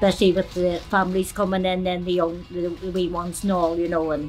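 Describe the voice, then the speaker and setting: With a Belfast accent, a woman talks at a moderate pace and a fairly low pitch. Faint music plays in the background. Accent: Belfast Northern Irish. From Northern Ireland. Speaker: fast food restaurant worker. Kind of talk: interview. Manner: hesitant, filler-heavy. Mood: cheerful, warm. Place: cafe.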